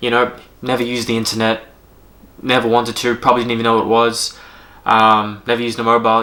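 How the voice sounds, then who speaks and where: A man with an Australian accent has a bright, sharp tone at a medium pitch. He moves at a fairly quick pace. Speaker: strength coach and yoga teacher. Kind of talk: casual vlog monologue. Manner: halting, many fillers.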